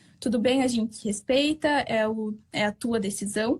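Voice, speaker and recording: Pitch varies in an ordinary way. The voice is somewhat breathy. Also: woman. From southern Brazil. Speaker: Brazilian expat worker interviewed. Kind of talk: interview. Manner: halting.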